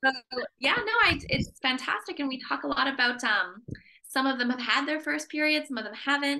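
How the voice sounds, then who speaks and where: A woman's raised, projected voice with a Canadian accent, high in pitch, at a fairly quick pace with ordinary pitch variation. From Canada. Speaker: menstrual health educator. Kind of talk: podcast interview.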